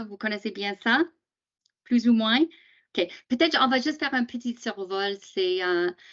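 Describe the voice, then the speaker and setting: A woman with an English accent speaks at a fairly slow pace and a fairly high pitch. Her intonation is lively, and her loudness swings widely. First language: English (speaking French). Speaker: teacher association presenter. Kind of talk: training webinar. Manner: halting, many hesitations.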